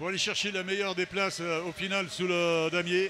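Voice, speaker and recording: A man's high, raised, projected voice at a fairly slow pace, over noticeable background noise. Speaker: race commentator. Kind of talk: live commentary.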